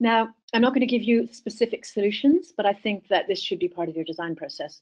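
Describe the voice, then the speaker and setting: A woman talks loudly at a fairly quick pace in a fairly high pitch. Her pitch swings very widely. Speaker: wearables researcher. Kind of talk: webinar talk. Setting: video call. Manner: speaking loudly to be heard. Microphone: quiet, has to sit close to computer.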